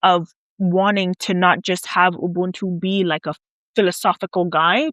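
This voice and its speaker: A woman with an ordinary speaking voice talks at a moderate pace in a medium pitch. The sound is dry and close with no echo, over a quiet background. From South Africa (Nigerian parents, US-born). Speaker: PhD student and researcher. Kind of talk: interview. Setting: away from usual studio.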